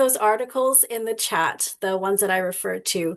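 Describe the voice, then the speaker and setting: With a quiet background, a woman uses an unremarkable speaking voice at medium pitch with ordinary pitch variation. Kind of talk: panel discussion.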